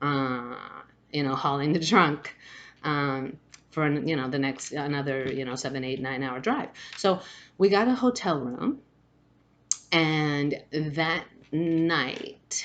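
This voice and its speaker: A woman speaks very slowly in a very deep, low pitch. She takes long, frequent pauses, and her pitch varies in an ordinary way. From Spain, Madrid. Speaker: spiritual vlogger. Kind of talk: personal storytelling. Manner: halting, many fillers and restarts.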